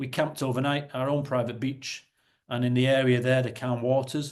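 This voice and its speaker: A man with a northern English accent at medium pitch and moderate pace, against a quiet background. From northern England, Salford. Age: 40s. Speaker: property investor and company executive. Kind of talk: webinar presentation. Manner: halting, self-correcting.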